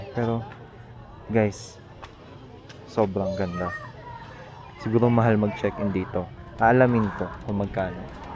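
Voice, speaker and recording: A man speaks quietly at a fairly slow pace, with long, frequent pauses, fairly low pitch and fairly even intonation. Crowd noise sits in the background, and room echo is audible. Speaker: lifestyle vlogger. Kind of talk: casual vlog narration. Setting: outdoors, quiet mountain village. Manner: soft-spoken, calm; low energy, quiet.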